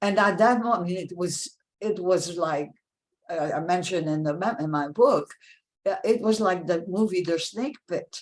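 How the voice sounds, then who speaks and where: In a French accent, a woman talks at a moderate pace in a medium pitch with ordinary pitch variation. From France, Paris; raised in New York from about age 11. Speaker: author and philanthropy professional. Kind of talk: interview.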